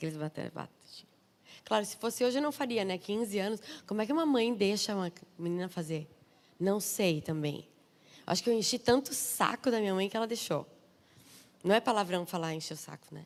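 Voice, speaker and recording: In a southern Brazilian accent, a woman talks at medium pitch and a fairly quick pace, animated and lively in intonation, with long, frequent pauses. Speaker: pastor's wife, guest preacher. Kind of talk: sermon.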